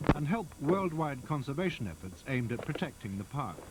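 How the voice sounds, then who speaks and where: A fairly high male voice at a fairly quick pace, with very wide pitch swings, over noticeable background noise. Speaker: documentary narrator. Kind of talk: nature documentary narration.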